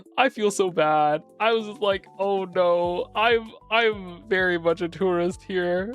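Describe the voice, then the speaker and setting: With music in the background, a woman talks at a very slow pace, leaving hardly any pauses. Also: medium pitch for a woman, ordinary pitch variation. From United States. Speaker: VTuber streamer. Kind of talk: casual chat. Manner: loud; animated.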